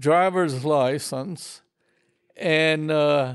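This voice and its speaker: Over a quiet background, a man talks at a very slow pace with ordinary pitch variation. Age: 80s+. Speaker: retired falconer. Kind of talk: interview answer. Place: home room.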